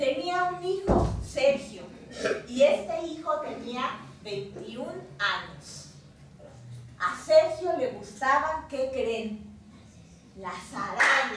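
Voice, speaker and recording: A woman with a high voice speaks at a very slow pace with very wide pitch swings and long, frequent pauses, with audible room echo and light background noise. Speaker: storyteller. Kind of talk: live oral storytelling for children. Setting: live audience. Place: home room. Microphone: camera far.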